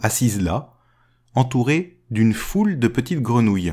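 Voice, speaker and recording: In a very clean recording with a silent background, a man at medium pitch speaks very slowly, his dark, mellow voice somewhat breathy and lively in intonation. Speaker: podcast storyteller. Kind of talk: fairy-tale narration, told aloud. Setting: recorded podcast episode.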